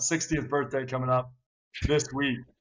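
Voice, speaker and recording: A man at medium pitch with monotone, flat intonation. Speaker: podcast host. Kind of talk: casual chat.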